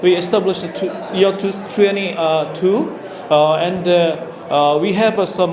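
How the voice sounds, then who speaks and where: A man's high-pitched voice with fairly even intonation, audible room echo and noticeable background noise. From South Korea. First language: Korean. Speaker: company founder and CEO. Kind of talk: conference presentation. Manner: halting, many fillers.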